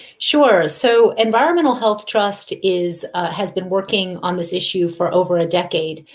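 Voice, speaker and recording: A woman with an American accent, medium pitch, ordinary pitch variation and a moderate pace, hardly any pauses, over noticeable background noise. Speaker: environmental health advocate. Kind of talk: interview. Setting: live video call.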